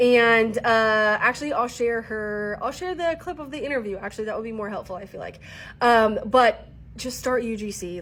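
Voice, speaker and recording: Speech moves at a moderate pace with lively intonation. The tone is animated. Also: woman. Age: 30s. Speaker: content creation coach. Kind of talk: casual vlog talk to camera.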